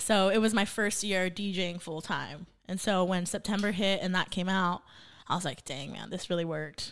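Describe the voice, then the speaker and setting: Her voice is an unremarkable speaking voice with an American accent, medium in pitch, with fairly even intonation at a moderate pace, on a very clean recording with a silent background. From Santa Paula, California. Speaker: DJ and former teacher. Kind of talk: casual chat.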